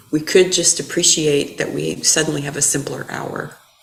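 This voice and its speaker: A woman speaks at a fairly slow pace. There is audible room echo and noticeable background noise. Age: 60s. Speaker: Buddhist dharma teacher. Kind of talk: dharma talk. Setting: temple hall with audience, also streamed.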